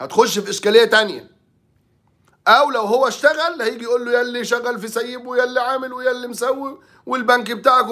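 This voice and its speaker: An extremely high-pitched man's voice, raised and projected, bright and sharp in tone, with fairly even intonation and a fairly quick pace against a quiet background. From Egypt. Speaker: sports journalist. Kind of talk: sports talk commentary. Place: office. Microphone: phone near.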